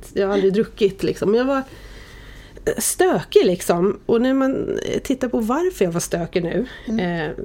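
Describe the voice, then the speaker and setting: A woman's fairly high voice with a dark, mellow tone, very wide pitch swings and a fairly slow pace. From Sweden, Oxelösund (Södermanland). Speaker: media executive. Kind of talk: casual interview. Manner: animated.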